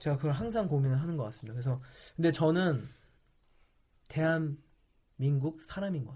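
Somewhat breathy and dark, mellow in tone, a man speaks at a moderate pace with fairly high pitch, ordinary pitch variation, big swings in loudness, and long, frequent pauses. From South Korea. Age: 20s. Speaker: startup CEO. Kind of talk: interview.

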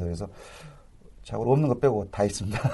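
Against a quiet background, a man with a fairly low pitch and ordinary pitch variation sounds somewhat breathy, his tone dark and mellow. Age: 40s. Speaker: social enterprise association head. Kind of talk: radio interview.

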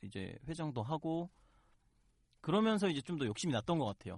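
On a very clean recording with a silent background, a man with an ordinary speaking voice talks at a fairly quick pace with lively intonation. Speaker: student election candidate. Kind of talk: interview on campus election.

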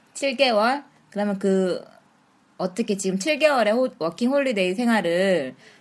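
A woman speaks in a normal speaking voice at a fairly slow pace. Her intonation is lively. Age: 30s. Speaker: host. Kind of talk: casual chat.

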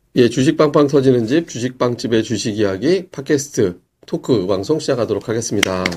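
This man has an ordinary speaking voice at a medium pitch. He talks at a fairly quick pace. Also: lively intonation. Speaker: stock podcast host. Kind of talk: casual chat. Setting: studio.

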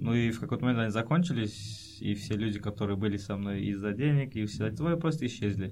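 Fairly quick in tempo, a man's speech carries lively intonation. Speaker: guest on radio show. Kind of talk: casual chat. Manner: halting.

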